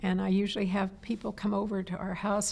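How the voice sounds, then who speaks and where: Her intonation monotone and flat, a woman talks at a medium pitch. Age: 70s. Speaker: environmental activist. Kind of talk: interview. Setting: on camera interview.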